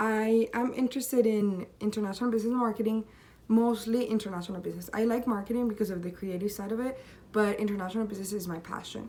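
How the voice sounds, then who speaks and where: Speaking at a very fast pace, a woman with a Spanish accent has a fairly high pitch, fairly even intonation and a dark, mellow tone. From Colombia. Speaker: university student. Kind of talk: self-presentation video.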